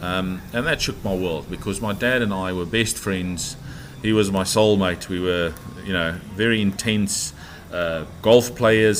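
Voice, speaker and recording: Over noticeable background noise, a man with a fairly low pitch talks at a fairly slow pace with ordinary pitch variation. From South Africa. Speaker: property developer. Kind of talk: podcast interview, life story. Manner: hesitant, many fillers.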